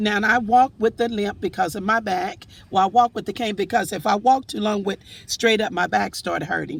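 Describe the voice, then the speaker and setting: Vocal fry runs through this woman's fairly high voice. Her pitch varies in an ordinary way. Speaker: vlogger. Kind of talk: casual monologue. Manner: halting.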